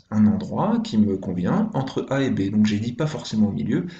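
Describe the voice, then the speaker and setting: A man talks in a dark, mellow, somewhat breathy tone with lively intonation. Room echo is audible. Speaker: primary school teacher. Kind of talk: tutorial.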